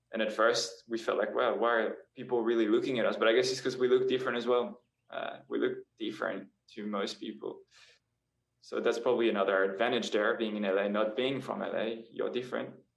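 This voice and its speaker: At a fairly quick rate, a man talks while audible room echo lingers around his voice. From France, moved to Australia at 12. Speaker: indie pop singer-songwriter and model. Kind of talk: casual interview chat. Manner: hesitant, many fillers.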